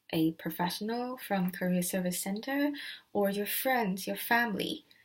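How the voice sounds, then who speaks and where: A woman speaks at a medium pitch and a fairly slow pace. Her voice is somewhat breathy, with ordinary pitch variation. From Asia. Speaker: student. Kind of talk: vlog tutorial. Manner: hesitant with filler words.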